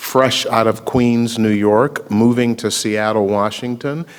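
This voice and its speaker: A man with an American accent uses a normal speaking voice at a medium pitch, speaking at a moderate pace with fairly even intonation. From US South, Memphis, Tennessee. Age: 60s. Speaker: attorney and racial justice activist. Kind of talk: public talk at a screening Q&A.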